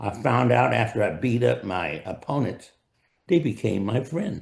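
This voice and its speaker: With an American accent, a man speaks at a fairly slow pace with vocal fry and very wide pitch swings. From US West, El Centro, California. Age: 80s+. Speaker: retired-age professional, dentist. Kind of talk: interview, personal life story. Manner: hesitant, with fillers.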